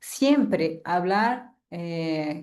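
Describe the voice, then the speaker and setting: A woman talks in a Portuguese accent with a dark, mellow tone. Audible room echo surrounds her voice. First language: Portuguese (speaking Spanish). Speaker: university lecturer. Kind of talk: lecture. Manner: halting.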